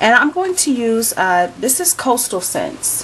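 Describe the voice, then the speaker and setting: Noticeable noise fills the background while someone talks fairly slowly. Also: woman. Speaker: beauty vlogger. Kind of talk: tutorial.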